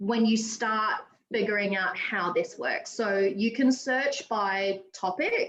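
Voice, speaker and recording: The speaker is a woman with an Australian accent. She talks very slowly. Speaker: teacher presenting at an educator meetup. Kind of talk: tutorial demo.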